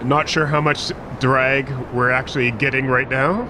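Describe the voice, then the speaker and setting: A man speaks at a moderate pace and a medium pitch. Noticeable background noise runs underneath. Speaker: gaming video host. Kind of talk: gameplay commentary. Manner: casual; loud.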